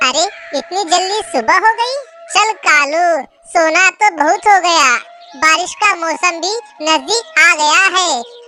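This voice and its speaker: A cartoonish character voice moves at a fairly slow pace over faint music in the background. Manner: rough, pushy.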